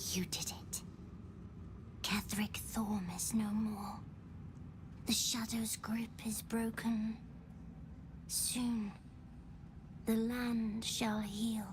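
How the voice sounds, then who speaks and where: A female-sounding, fairly high put-on character voice speaks very slowly, with long, frequent pauses, over loud background noise. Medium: video game. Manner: solemn, measured.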